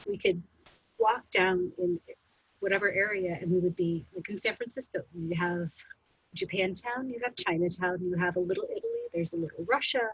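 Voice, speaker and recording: Speaking with an American accent, a woman sounds somewhat breathy and uses ordinary pitch variation. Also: medium pitch for a woman, moderate pace. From US; New Orleans, Berkeley, Washington DC. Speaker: panel guest. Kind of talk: panel discussion.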